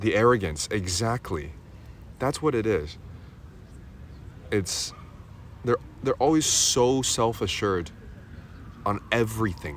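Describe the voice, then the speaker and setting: Fairly low-pitched with vocal fry, a man speaks at a fairly slow pace. His pitch swings very widely. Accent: American. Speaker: livestreamer. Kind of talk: casual chat.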